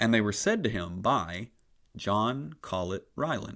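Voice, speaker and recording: Over a silent background in a very clean recording, a man speaks at a fairly low pitch with ordinary pitch variation. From US South, Appalachia. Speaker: podcast host, church historian. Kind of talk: scripted history narration.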